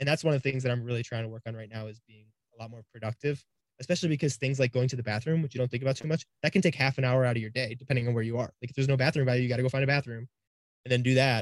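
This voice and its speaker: Speaking at a very fast pace, a man with an American accent keeps a medium pitch and fairly even intonation, with big swings in loudness and a dry, close sound with no echo. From Cleveland, Ohio. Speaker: online reseller and YouTuber. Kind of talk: casual interview.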